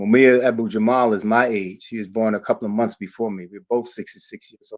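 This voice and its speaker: A man's normal speaking voice, medium in pitch, at a fairly quick pace with fairly even intonation against a quiet background. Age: 60s. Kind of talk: conference speech. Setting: community center event, also streamed online.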